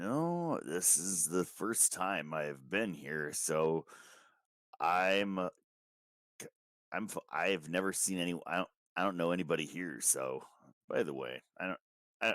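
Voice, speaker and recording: Using a put-on character voice, a man speaks raspy and very deep, at a fairly slow pace with long, frequent pauses. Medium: actual play. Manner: hesitant, stammering.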